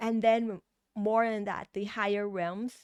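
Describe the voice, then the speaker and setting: Someone speaks at a fairly slow pace with a Thai accent. The sound is dry and close with no echo, in a very clean recording with a silent background. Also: woman. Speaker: tarot reader. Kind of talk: tarot reading. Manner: halting, with fillers and restarts.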